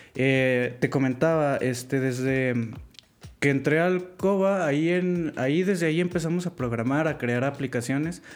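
A man with a normal speaking voice, fairly high pitch, ordinary pitch variation and very even loudness. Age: 20s. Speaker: programming student. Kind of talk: casual interview chat.

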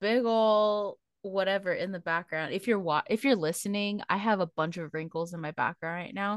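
A woman speaks at a medium pitch with an animated tone and ordinary pitch variation. The sound is dry and close with no echo, over a quiet background. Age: 20s. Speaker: podcast co-host. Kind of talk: casual chat.

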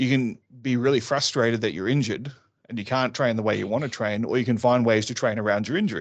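A very fast-talking man with an Australian accent and fairly even intonation. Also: medium pitch for a man. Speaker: martial arts instructor and safety consultant. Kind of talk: casual chat.

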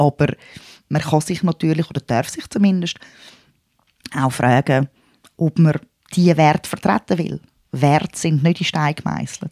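With a Swiss accent and a very deep, low pitch, a woman speaks in a dark, mellow tone with ordinary pitch variation and long, frequent pauses, the sound dry and close with no echo. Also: moderate pace. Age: 40s. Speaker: podcast co-host. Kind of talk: casual chat.

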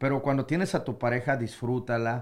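At a moderate pace, an unremarkable speaking voice holds fairly even intonation in a very clean recording with a silent background. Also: man. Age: 40s. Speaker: radio broadcaster. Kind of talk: casual chat.

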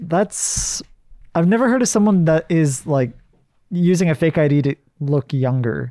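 Fairly high-pitched with a dark, mellow tone, a man speaks at a moderate pace with lively intonation, very even loudness and long, frequent pauses. The recording is very clean, with a silent background. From Hawaii. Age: 20s. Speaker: video production company partner. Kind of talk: casual chat.

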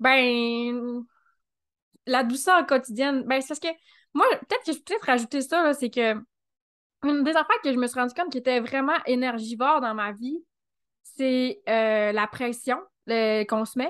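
The speaker talks at a fairly slow pace in a Quebec accent, with ordinary pitch variation. Long, frequent pauses break up the speech, and the background is quiet. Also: woman, high pitch for a woman. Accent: Québécois French. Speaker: Human Design specialist. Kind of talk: casual interview chat.

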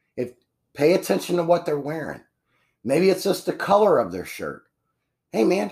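This man speaks with a high pitch and lively intonation at a moderate pace. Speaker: podcast host and painting business owner. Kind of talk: solo podcast monologue on business tips. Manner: casual, conversational with many fillers.

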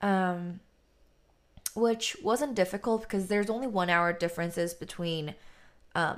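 Using an unremarkable speaking voice, a woman talks at a moderate pace in an American accent. Her pitch variation is ordinary, and the recording is very clean, with a silent background. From Texas, Austin; Korean American. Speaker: independent musician. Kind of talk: casual interview.

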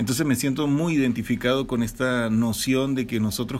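A man speaks at medium pitch with fairly even intonation. It is an ordinary speaking voice at a moderate pace. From Venezuela. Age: 40s. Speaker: podcast co-host. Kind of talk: casual chat.

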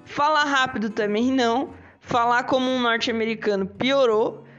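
Over noticeable background noise, a woman with a Brazilian accent speaks in a high voice. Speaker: English teacher and podcast host. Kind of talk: casual solo podcast lesson. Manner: animated.

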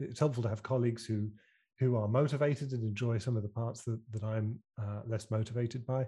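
A man's somewhat breathy, medium-pitched voice with a British accent, dark and mellow in tone, fairly quick and fairly even in intonation, over a quiet background. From UK. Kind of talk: casual interview chat. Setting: video call.

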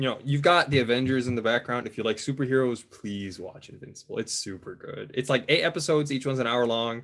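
A man with an American accent talks at a very fast pace with hardly any pauses. His pitch is medium with ordinary variation. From US Midwest, Michigan. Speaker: automotive cybersecurity engineer. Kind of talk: casual interview.

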